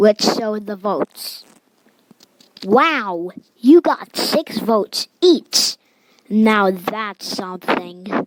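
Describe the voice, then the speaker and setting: A woman puts on a cartoonish character voice at medium pitch with lively intonation. She goes at a very slow pace with long, frequent pauses. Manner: sarcastic, casual.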